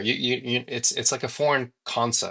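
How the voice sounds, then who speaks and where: A man talks at a moderate pace. The sound is dry and close, with no echo. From United States. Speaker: traveling minimalist nomad. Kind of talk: podcast interview. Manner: hesitant, many fillers.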